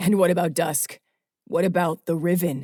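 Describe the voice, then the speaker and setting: Using a put-on character voice, a man sounds raspy and high-pitched, with a serious tone and fairly even intonation. He talks at a moderate pace, and the sound is dry and close with no echo. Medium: read story. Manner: serious, measured.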